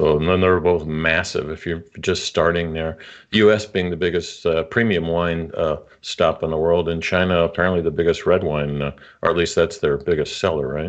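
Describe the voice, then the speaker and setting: Over a quiet background, a man with an American accent and a very deep, low pitch speaks at a moderate pace with fairly even intonation. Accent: muddled, people think Nebraska. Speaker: podcast host. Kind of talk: interview.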